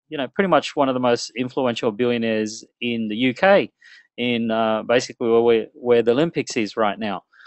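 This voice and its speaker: At a moderate pace, a speaker with an Australian accent comes through a dry, close sound with no echo against a quiet background. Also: man. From Australia, Melbourne. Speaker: internet marketing webinar presenter. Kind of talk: webinar presentation. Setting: online webinar. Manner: conversational, filler-heavy.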